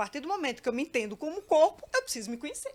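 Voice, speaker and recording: Very wide pitch swings across a high female voice. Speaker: judge. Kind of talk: panel discussion. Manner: halting.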